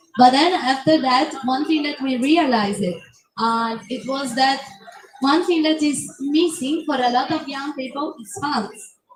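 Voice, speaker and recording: This woman has a high-pitched voice and talks at a fairly slow pace. Audible room echo surrounds her. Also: ordinary pitch variation, big swings in loudness. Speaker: youth climate activist. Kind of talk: panel discussion. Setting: conference pavilion, livestream. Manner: loud.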